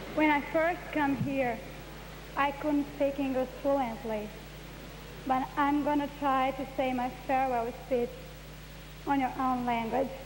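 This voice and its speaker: Amid noticeable background noise and audible room echo, a woman with a Brazilian Portuguese accent speaks high and in a monotone, flat intonation, with long, frequent pauses. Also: fairly slow pace. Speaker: beauty queen. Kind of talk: farewell speech.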